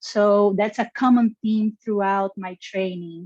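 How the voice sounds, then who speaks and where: With a Brazilian accent, a woman speaks at medium pitch in a dark, mellow tone, the sound dry and close with no echo. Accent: Brazilian Portuguese accent, noticeable. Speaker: genetics scientist. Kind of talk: interview. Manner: enthusiastic; halting.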